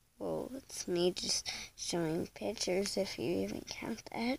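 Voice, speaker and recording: A woman whispers at a fairly slow pace. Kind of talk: casual reaction commentary. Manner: hesitant, many fillers.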